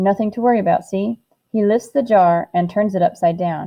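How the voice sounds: With ordinary pitch variation, a natural reading voice is heard over a quiet background.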